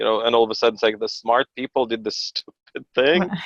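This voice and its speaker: A man talks with a Russian accent, the sound dry and close with no echo. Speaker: pastor and homeschooling father. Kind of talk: podcast interview. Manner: conversational with many fillers and restarts.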